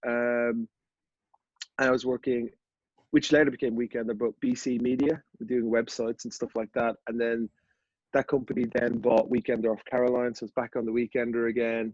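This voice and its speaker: At a moderate pace, a man speaks with an Irish accent and monotone, flat intonation. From Ireland, Dublin. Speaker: golf media founder. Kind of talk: podcast interview.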